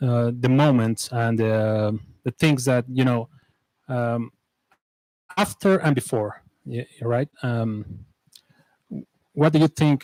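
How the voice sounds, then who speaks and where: A very slow pace with long, frequent pauses, ordinary pitch variation, and a dry, close sound with no echo. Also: man, medium pitch for a man. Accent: Spanish. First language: Spanish. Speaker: interviewer. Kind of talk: interview. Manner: halting.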